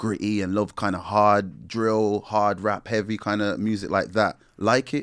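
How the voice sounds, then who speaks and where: A man's voice sits fairly low in pitch. The recording is very clean, with a silent background. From West Midlands, England (Wolverhampton), Jamaican family. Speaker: musician, rapper. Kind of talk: casual interview chat. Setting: studio. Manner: relaxed, conversational.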